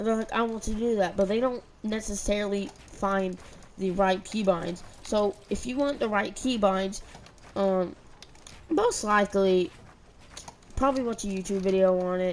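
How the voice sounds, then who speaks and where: Long, frequent pauses break up speech with ordinary pitch variation over noticeable background noise. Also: woman, medium pitch for a woman, moderate pace. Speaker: gaming youtuber. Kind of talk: gameplay tutorial. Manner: halting, many fillers and repeats; stutter.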